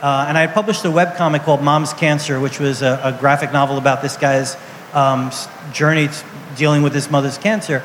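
Over noticeable background noise, a man with an American accent talks very fast at a fairly high pitch with fairly even intonation. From New York City (Brooklyn). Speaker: comics editor. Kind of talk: live interview on stage. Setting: outdoor stage with audience.

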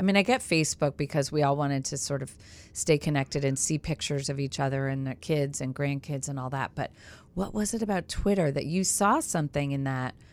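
Animated in tone, a woman with a very deep, low pitch speaks at a fairly quick pace with ordinary pitch variation on a very clean recording with a silent background. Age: 40s. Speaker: podcast host, former TV news reporter. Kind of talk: casual interview chat. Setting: radio studio.

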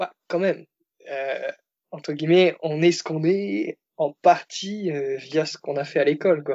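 Long, frequent pauses break up the fairly slow speech of a man whose fairly high voice shows ordinary pitch variation. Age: 20s. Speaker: car salesman. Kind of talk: casual chat. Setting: Skype call.

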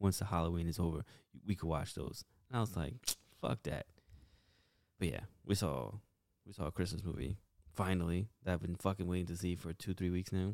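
With a very deep, low pitch and vocal fry, a man speaks at a fairly quick pace with ordinary pitch variation. The sound is dry and close, with no echo. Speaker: podcast host. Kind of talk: casual banter, joking with spouse. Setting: home, living room. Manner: sarcastic, profane, teasing.

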